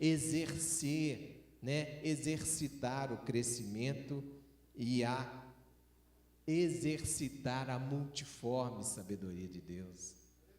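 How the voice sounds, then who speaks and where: With audible room echo, a man of fairly high pitch talks very slowly in a Minas Gerais accent. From Minas Gerais, Brazil. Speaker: preacher. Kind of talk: sermon.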